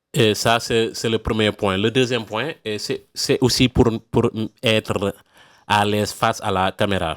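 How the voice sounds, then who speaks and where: Speaking fairly slowly with fairly even intonation, a man with a non-native accent and a fairly low pitch is heard in a dry, close sound with no echo, on a very clean recording with a silent background. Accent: non-native French speaker. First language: not French (speaking French). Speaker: email marketing freelancer, YouTuber. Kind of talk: channel introduction to camera. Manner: halting, many hesitations and repetitions.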